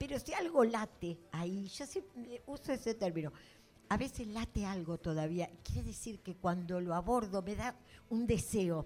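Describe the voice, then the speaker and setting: Here a woman speaks in a plain, everyday voice. Her pitch is medium and her pace moderate. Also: lively intonation. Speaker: fiction writer. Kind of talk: public literary talk.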